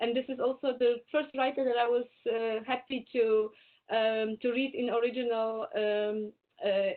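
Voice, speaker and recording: In a Polish accent, a woman speaks at a high pitch with fairly even intonation. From Poland. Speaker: Indologist and Hindi scholar. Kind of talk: webinar Q&A talk. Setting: video call. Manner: halting.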